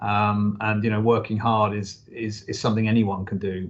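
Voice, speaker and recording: A somewhat breathy man's voice, fairly low in pitch, with monotone, flat intonation. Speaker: football club chief executive. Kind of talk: interview answer.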